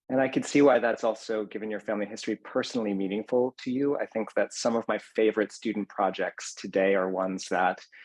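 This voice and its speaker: An unremarkable speaking voice moves at a fairly quick pace with fairly even intonation. The sound is dry and close, without echo. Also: man. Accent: American. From Maine, US. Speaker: event host. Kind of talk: moderated discussion.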